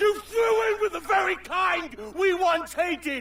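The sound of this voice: Shouting in a raised voice, a man performs a put-on character voice at an extremely high pitch with vocal fry, ordinary pitch variation and a slow pace. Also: fairly bright tone.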